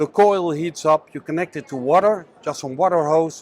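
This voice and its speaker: A man's fairly high voice with a Dutch accent, fairly even intonation, and a moderate pace. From Netherlands. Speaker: business owner. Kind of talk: sales pitch. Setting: trade show.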